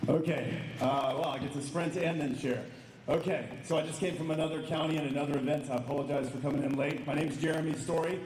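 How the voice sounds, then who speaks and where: A man's fairly high, flat, monotone voice at a very fast pace, with audible room echo and noticeable background noise. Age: 50s. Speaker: political candidate. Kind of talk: campaign speech.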